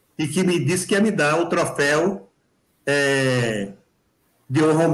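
A man's lively intonation with audible room echo. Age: 60s. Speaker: amateur marathon runner. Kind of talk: live video chat. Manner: animated.

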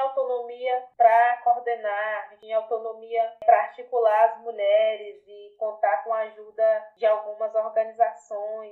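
A fairly high-pitched woman's voice at a moderate pace, in a flat monotone. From rural interior of Bahia, Brazil. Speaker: quilombola community activist. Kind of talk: interview testimony.

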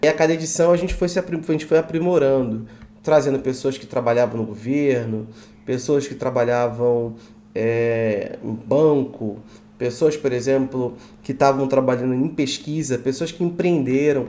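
In a plain, everyday voice, a man talks at a moderate pace and medium pitch with ordinary pitch variation. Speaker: university student. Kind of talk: podcast interview.

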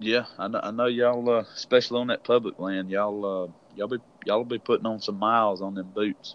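Talking at a very fast pace, a man with a Southern US accent keeps a monotone, flat intonation. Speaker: podcast host, turkey hunter. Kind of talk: casual interview chat.

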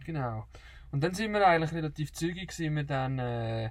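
A somewhat breathy man at a moderate pace. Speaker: travel podcaster. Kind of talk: casual chat. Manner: halting.

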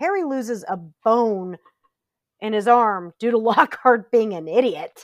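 Recorded very cleanly with a silent background and dry, close sound with no echo, a woman speaks in a plain, everyday voice, fairly high in pitch with ordinary pitch variation. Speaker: podcast co-host. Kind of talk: casual chat.

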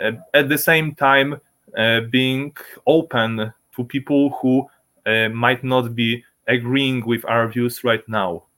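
Speaking very slowly with long, frequent pauses, a man with a medium pitch keeps his intonation fairly even. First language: Polish. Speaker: libertarian activist. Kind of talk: interview. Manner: halting.

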